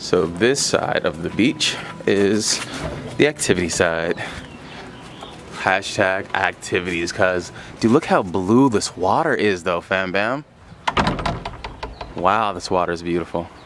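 A man with a very deep, low pitch talks at a fairly slow pace, with long, frequent pauses and ordinary pitch variation. The sound is dry with no echo, though noticeable background noise is present. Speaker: travel vlogger. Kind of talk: casual vlog chat. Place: beach. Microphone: phone near.

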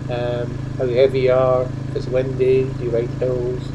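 A man talks while loud noise fills the background. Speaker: motorbike vlogger. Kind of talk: casual vlog chat. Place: motorbike. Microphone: helmet.

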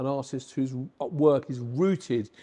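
With a dark, mellow tone, a man speaks using ordinary pitch variation. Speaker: presenter. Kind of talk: gallery tour commentary. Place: hall.

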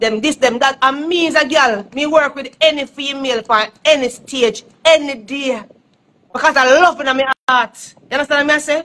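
A woman speaks in a high voice with a Jamaican accent. Her intonation stays fairly even. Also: moderate pace. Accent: Jamaican Patois-inflected English. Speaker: dancehall artist. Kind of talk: casual chat. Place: home room. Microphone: phone near.

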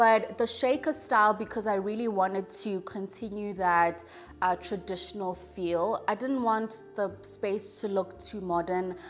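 Faint music plays in the background as a woman speaks. She goes at a fairly slow pace with ordinary pitch variation. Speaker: home renovation vlogger. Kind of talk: casual vlog chat. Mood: warm, pleased. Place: home room.

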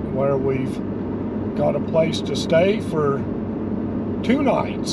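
Loud background noise runs behind a man who talks at a fairly slow pace. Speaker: vlogger. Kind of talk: casual vlog chat. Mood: relaxed, upbeat. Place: car. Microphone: phone near.

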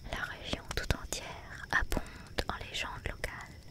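A soft-spoken woman is whispering over loud background noise. The sound is dry with no echo. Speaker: storyteller. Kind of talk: reading a story aloud. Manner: soft whispered storytelling.

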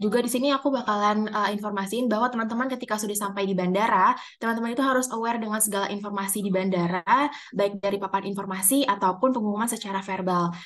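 Very fast in pace, a woman speaks with fairly even intonation. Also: quiet background. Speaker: student liaison officer. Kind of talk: meeting briefing. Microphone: video call.

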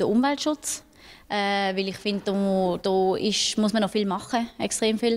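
A woman speaks with fairly even intonation. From Switzerland, Basel region. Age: 20s. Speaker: local councillor. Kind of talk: interview. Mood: calm, earnest. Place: hall. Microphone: handheld.

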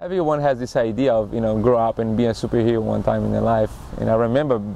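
A man with a Brazilian accent speaks with fairly even intonation in a dry sound with no echo, with light background noise. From Recife, Brazil. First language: Portuguese. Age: 30s. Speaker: acrobat and circus performer. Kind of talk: interview, personal storytelling. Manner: halting, with fillers. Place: waterside. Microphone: lapel.

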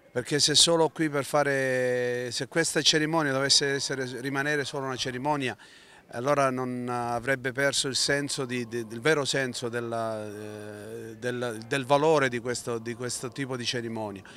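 A man's bright, sharp tone comes through dry with no echo. He keeps a moderate pace and fairly even intonation. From Calabria, Italy. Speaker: teacher and community association member; teacher. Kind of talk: interview. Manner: halting, many fillers. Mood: solemn, earnest. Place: street. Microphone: handheld.

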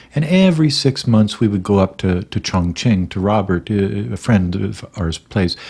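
A man with a plain, everyday voice talks at a moderate pace, his fairly low pitch carried by lively intonation. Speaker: grieving husband vlogger. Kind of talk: casual vlog chat, personal story. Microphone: studio mic.

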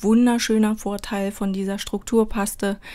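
A medium-pitched woman's voice, a very clean recording, and a silent background. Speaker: crafts YouTuber. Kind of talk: voice-over tutorial. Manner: hesitant, many fillers; unscripted.

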